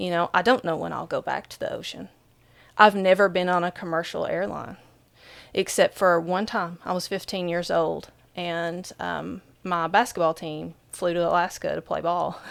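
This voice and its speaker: Her loudness rises and falls sharply. The woman speaks in an Appalachian accent. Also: moderate pace, very clean recording, silent background. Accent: Appalachian accent, often commented on. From Southeastern Kentucky, central Appalachia. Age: 40s. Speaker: author and spiritual speaker. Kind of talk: podcast interview. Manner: conversational, many fillers.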